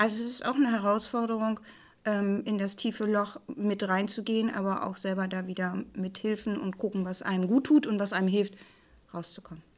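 At a medium pitch and moderate pace, a woman talks with an unremarkable speaking voice and fairly even intonation. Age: 60s. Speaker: plain-language office head. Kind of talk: personal testimony on grief.

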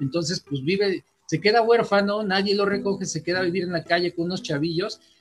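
Pitched high, a man talks fairly quickly, his pitch varying in an ordinary way. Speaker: podcast co-host. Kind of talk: casual chat. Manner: halting, repeats words.

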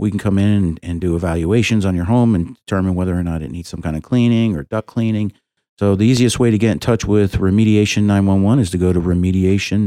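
A man with an American accent speaks very fast in a very deep, low voice with a dark, mellow tone and fairly even intonation, on a very clean recording with a silent background. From southeast Florida. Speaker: business owner. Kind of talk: casual chat. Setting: studio.

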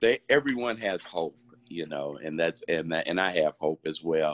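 In an American accent, a man talks with lively intonation. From Indianapolis, US Midwest. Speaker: dialysis patient, COVID survivor. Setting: video call.

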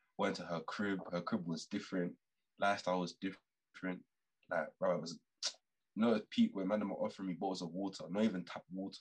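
Speaking at a very fast pace with a London accent, a man delivers his words in a very deep, low pitch and monotone, flat intonation, with a dry, close sound and no echo. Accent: London multicultural English. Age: 20s. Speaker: podcast guest. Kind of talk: casual chat.

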